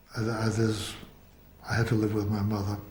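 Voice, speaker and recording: A flat, monotone delivery comes through with audible room echo and noticeable background noise. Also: man. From US Northeast, Boston. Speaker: actor and theatre teacher. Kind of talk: biographical interview.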